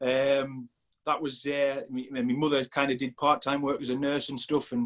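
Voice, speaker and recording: A man speaks in a northeast England accent at a fairly high pitch with monotone, flat intonation. The sound is dry and close with no echo. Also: moderate pace. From northeast England, Sunderland. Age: 40s. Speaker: strength coach. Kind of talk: casual chat. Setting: podcast interview.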